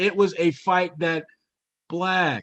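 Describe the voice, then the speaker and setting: With an American accent, a man talks at a high pitch. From Upstate New York. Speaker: sports journalist and podcaster. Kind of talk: podcast interview. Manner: halting with frequent repetitions.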